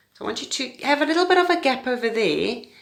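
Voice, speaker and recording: A woman speaks with very wide pitch swings. Audible room echo is present. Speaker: pre-primary teacher. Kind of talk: tutorial. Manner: fast.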